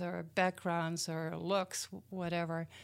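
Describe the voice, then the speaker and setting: A woman speaks at a medium pitch with a Dutch accent. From Netherlands. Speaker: community program founder. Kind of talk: interview.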